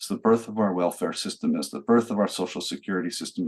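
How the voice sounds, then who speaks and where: Speech at a very fast pace comes in an American accent. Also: man. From United States. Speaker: law professor. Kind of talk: lecture.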